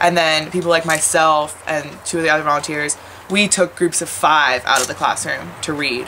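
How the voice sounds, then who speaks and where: A woman with an American accent has a very deep, low pitch and fairly even intonation. She talks at a moderate pace over light background noise. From Washington, D.C., US. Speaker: volunteer teacher. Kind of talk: interview testimony; interview answer. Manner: casual, many fillers. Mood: warm, reflective.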